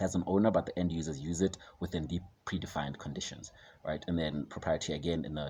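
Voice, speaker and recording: A man with a very deep, low pitch speaks at a fairly quick pace. His voice has vocal fry and fairly even intonation. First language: a South African language other than English. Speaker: finance educator / vlogger. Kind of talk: tutorial. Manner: hesitant, many fillers.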